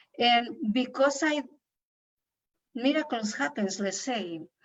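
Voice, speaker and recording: A woman with a non-native accent, a fairly high pitch, and a fairly slow pace. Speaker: women's workshop leader. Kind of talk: interview. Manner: halting.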